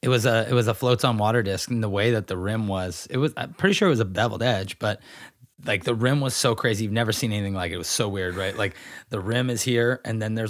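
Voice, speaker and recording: The speech comes at a very fast pace with ordinary pitch variation. The recording is very clean, with a silent background. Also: man. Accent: American. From Northern California, Grass Valley. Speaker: professional disc golfer. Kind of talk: casual interview. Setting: at home.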